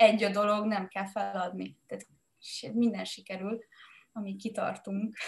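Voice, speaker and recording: A woman's somewhat breathy, flat, monotone speech at a fairly slow pace, with long, frequent pauses and big swings in loudness. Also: medium pitch for a woman. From Hungary, Mátraalja village. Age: 30s. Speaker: entrepreneur and podcaster. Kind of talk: casual chat.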